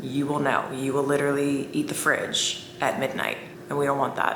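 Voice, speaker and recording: A woman speaks in an animated tone. Audible room echo and noticeable background noise surround her voice. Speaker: lifestyle vlogger. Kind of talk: casual talking-head vlog.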